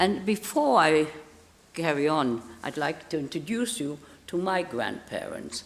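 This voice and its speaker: A woman speaks with a German accent and a very deep, low pitch, her intonation lively. Audible room echo surrounds the recording. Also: fairly slow pace. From Palestine (Israel), born in Germany. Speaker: Holocaust survivor speaking to schools. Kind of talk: testimony. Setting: hall with audience of schoolchildren. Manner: halting.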